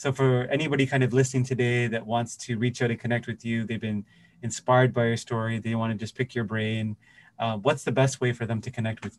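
In a Canadian accent, a man with a medium-pitched voice speaks very fast in a flat monotone. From Toronto, Canada. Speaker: podcast host. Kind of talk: casual interview chat.

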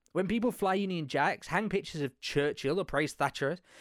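A man speaks with an East Midlands accent and lively intonation. The recording is very clean, with a silent background. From England, Leicester. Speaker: podcast host. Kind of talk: solo monologue podcast.

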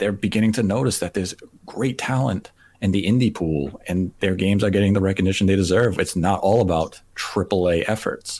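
An unremarkable speaking voice moves at a fairly quick pace, with fairly even intonation and very even loudness. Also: man, fairly low pitch for a man. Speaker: podcast host. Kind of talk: casual chat, gaming podcast.

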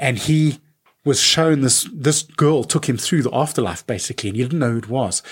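Somewhat breathy, this man's voice moves at a fairly quick pace. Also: medium pitch for a man, ordinary pitch variation, very clean recording, silent background. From South Africa, Benoni. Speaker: film and media composer. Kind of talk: casual interview.

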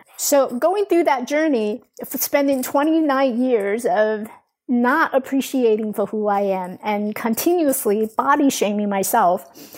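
Speaking at a very slow pace, a woman has a high voice. Her intonation is lively. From Taiwan. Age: 40s. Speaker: life coach. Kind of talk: podcast interview.

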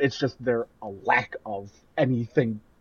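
A man is speaking. He has a Midwestern accent. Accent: Midwest. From US Midwest. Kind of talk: casual chat.

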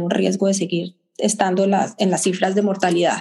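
A woman's dark, mellow tone at a moderate pace. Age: middle-aged. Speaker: infectious disease physician. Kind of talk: interview. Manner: halting.

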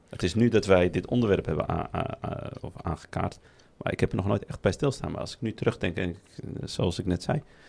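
A man with a fairly low pitch, talking at a fairly quick pace. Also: ordinary pitch variation. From Netherlands, Moroccan family. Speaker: podcast host. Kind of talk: casual chat. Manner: halting.

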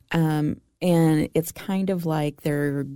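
A woman speaks with a fairly low pitch and a dark, mellow tone. The sound is dry and close, with no echo. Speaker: podcast co-host. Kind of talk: casual chat.

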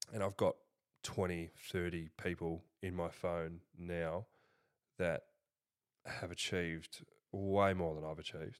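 With an Australian accent, a man speaks in a very deep, low voice, his intonation monotone and flat, at a fairly slow pace with long, frequent pauses. The recording is very clean and the background silent. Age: 20s. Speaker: business founder and CEO. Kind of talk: casual interview.

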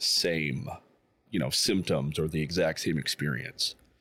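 On a very clean recording with a silent background, a man speaks with vocal fry. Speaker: veteran, guitar program graduate. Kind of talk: interview.

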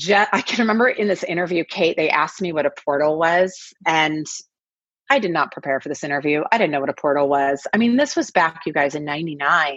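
A woman with an American accent speaks at a fairly quick pace. Her pitch is fairly low, with ordinary pitch variation. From US Pacific Northwest (Kirkland/Seattle, Washington). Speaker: executive coach. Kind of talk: interview.

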